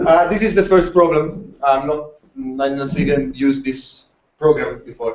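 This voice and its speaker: A man with a non-native accent speaks at a moderate pace, his pitch fairly high with ordinary variation. Room echo is audible. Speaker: larp community presenter. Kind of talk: conference presentation. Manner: halting, many fillers.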